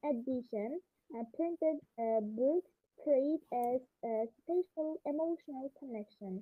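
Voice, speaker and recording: This woman speaks quietly in a high pitch. Her pitch varies in an ordinary way. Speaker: debate club participant. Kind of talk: debate argument. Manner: halting. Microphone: far from device, too quiet.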